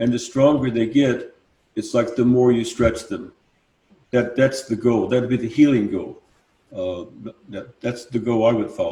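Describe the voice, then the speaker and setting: At a moderate pace and medium pitch, a man speaks somewhat breathily in a dark, mellow tone, with fairly even intonation and long, frequent pauses. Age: 70s. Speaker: sound healer. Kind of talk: live panel discussion.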